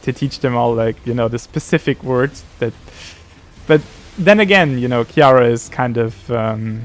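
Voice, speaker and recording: Here a man speaks with a German accent at medium pitch. His pace is moderate and his pitch variation ordinary. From Austria. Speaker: streamer. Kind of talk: casual gaming livestream chat. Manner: halting, many fillers and restarts.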